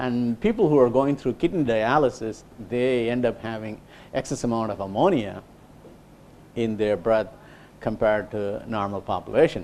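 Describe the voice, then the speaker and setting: A man talks at a medium pitch and a moderate pace, taking long, frequent pauses. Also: ordinary pitch variation. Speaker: engineer giving a research talk. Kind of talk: lecture. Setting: small lecture room. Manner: loud; halting, many fillers.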